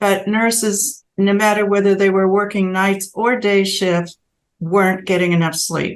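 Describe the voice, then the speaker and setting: A woman with a normal speaking voice talks at a fairly slow pace in a medium pitch. Her intonation stays fairly even and her loudness very even. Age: 60s. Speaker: sleep researcher, professor. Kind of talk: interview conversation.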